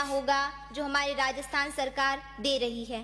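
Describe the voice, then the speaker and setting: Her voice raised and projected, a woman speaks with fairly even intonation. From Rajasthan, Pali district. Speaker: youth parliament speaker. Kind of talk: parliamentary speech. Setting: assembly chamber. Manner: formal.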